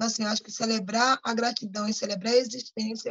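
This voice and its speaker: The voice is somewhat breathy, with monotone, flat intonation and a fairly quick pace. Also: woman. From Brazil, Pernambuco (Paulista), raised in Rio de Janeiro. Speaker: community activist. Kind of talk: interview.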